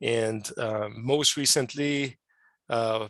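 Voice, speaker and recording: In a very clean recording with a silent background, a man with a French Canadian accent speaks at a medium pitch with fairly even intonation. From Quebec, Canada. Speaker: scientist and amateur radio operator. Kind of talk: podcast interview. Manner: hesitant, many fillers.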